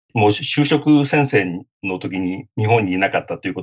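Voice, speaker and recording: Man at a medium pitch with very wide pitch swings and a moderate pace. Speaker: lawyer and author. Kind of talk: interview.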